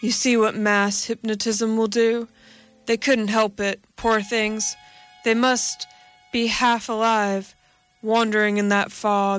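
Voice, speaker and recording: A woman's strained, put-on character voice, fairly high in pitch, monotone and flat, at a fairly slow pace and very even loudness, with music in the background. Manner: strained monotone.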